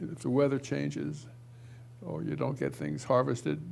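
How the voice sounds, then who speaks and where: A man's very deep, low voice with vocal fry, very wide pitch swings and a moderate pace. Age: 70s. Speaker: talk show host and pastor. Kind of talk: casual chat. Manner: halting.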